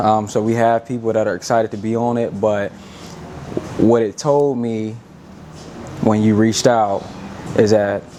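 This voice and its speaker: Noticeable noise runs behind speech delivered at a moderate speed. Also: man. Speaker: podcast host. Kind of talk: podcast interview questions.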